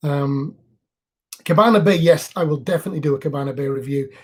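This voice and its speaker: The man talks at a fairly quick pace with a somewhat breathy voice. His pitch sits fairly high for a man. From northern England, Leeds. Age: 50s. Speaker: theme park vlogger. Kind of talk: live stream Q&A. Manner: casual, conversational.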